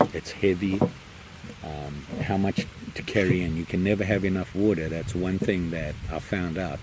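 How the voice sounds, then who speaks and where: Noticeable background noise is present as a man with a very deep, low pitch speaks at a moderate pace. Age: old. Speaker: camping vlogger. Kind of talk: casual vlog. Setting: outdoors, campsite in rain. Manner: mumbling.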